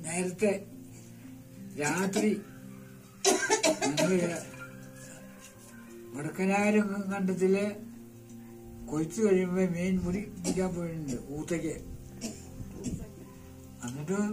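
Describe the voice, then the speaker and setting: A man with a high pitch and fairly even intonation, with clear music in the background. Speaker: village elder, storyteller and home cook. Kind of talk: casual storytelling to camera while cooking. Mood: warm, smiling, reminiscing. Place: home room.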